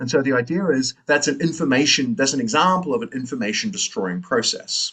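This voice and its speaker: This man has a New Zealand accent and a fairly high pitch. His pitch swings very widely at a fairly quick pace. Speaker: philosophy lecturer. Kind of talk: lecture.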